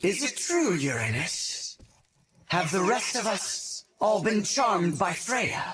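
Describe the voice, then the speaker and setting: Using a put-on character voice, a man talks at a fairly slow pace in a high pitch. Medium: fan dub. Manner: serious, deliberate.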